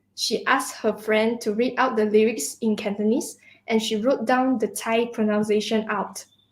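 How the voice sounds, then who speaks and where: With a Mandarin accent, a woman speaks at a fairly high pitch with fairly even intonation. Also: moderate pace. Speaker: student singer. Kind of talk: conversational interview. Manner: halting.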